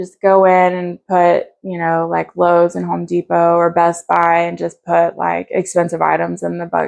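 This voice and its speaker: A woman in a western North Carolina accent at a moderate pace. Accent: Southern US, western North Carolina. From US South, North Carolina (Asheville). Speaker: recovering addict sharing her story. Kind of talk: interview testimony. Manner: casual, halting with fillers.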